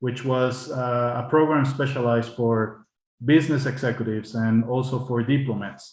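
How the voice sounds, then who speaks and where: Speaking at a moderate pace in a Spanish accent, a man with a medium-pitched, somewhat breathy voice keeps a monotone, flat intonation. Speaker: diplomat. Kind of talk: panel talk. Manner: halting.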